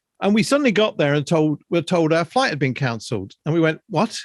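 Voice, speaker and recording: A man with an English accent speaks at a fairly high pitch, with very wide swings in pitch. The recording is very clean, with a silent background and a dry, close sound with no echo. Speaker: podcast co-host. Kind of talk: casual chat.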